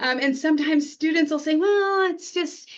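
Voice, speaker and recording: Speaking at a moderate pace, a woman talks with an American accent. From California desert, border region. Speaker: history educator, association president. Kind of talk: interview. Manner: halting, many fillers.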